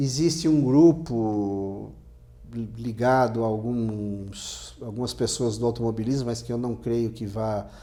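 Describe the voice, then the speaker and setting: In a room with audible echo, a man speaks at a very slow pace and a medium pitch with ordinary pitch variation. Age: 60s. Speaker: motorsport journalist. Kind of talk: interview. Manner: halting, many restarts.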